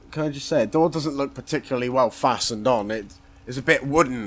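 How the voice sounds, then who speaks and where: A man speaks at a very fast pace with a West Country accent. His pitch is medium, with ordinary variation. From Somerset, England. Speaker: gaming YouTuber. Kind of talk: gameplay commentary. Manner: mumbling; casual, rambling with fillers.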